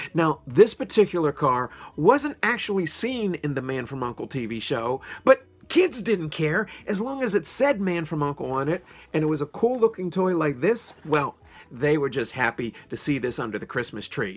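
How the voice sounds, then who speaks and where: Speech comes at a moderate pace with faint music in the background. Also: man. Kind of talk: casual vlog chat. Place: home room. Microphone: phone near.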